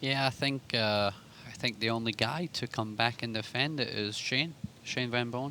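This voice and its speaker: Speaking with an American accent, a man has a bright, sharp tone, a medium pitch and fairly even intonation. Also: moderate pace. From Scotland. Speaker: pool commentator, former player. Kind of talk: live commentary.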